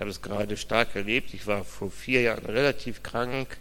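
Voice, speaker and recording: Amid audible room echo, a man with vocal fry talks at a moderate pace in a fairly low pitch with fairly even intonation. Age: 50s. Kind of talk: interview testimony in church service.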